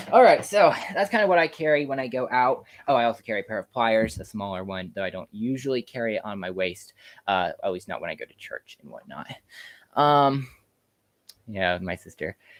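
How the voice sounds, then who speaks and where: In a very clean recording with a silent background and a dry, close sound with no echo, a man with an American accent speaks at a fairly quick pace and medium pitch, with very wide pitch swings and big swings in loudness. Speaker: YouTuber, farmer. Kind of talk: live stream Q&A, casual chat. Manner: fast; hesitant, many fillers.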